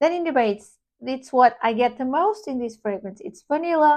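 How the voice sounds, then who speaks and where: In a non-native accent, a woman speaks at a high pitch with very wide pitch swings. Her pace is fairly slow against a quiet background. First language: not English. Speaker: perfume reviewer. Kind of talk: product review. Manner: casual, halting with self-corrections.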